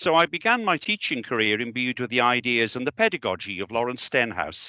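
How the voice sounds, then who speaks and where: With a Welsh accent, a man speaks at a fairly quick pace and medium pitch in a bright, sharp tone, the sound dry and close with no echo over a quiet background. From South Wales, the Valleys. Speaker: education director. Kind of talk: speech.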